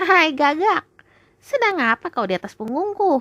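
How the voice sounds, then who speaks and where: The voice is a put-on character voice pitched high. Its pitch swings very widely. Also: moderate pace. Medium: read story.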